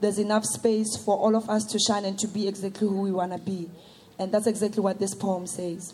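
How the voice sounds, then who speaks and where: A woman speaks fairly quickly at a medium pitch, her tone dark and mellow, somewhat breathy, with monotone, flat intonation. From South Africa, Soweto. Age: young. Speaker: performance poet. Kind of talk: poetry performance.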